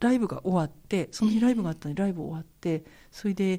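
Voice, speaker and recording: The speaker is a woman with medium pitch. Her voice is somewhat breathy. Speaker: jazz vocalist. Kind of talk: interview, personal life story. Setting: recording studio.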